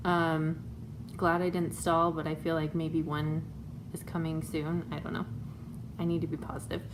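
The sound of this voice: A woman speaks at a moderate pace in a low pitch. Her pitch moves very little.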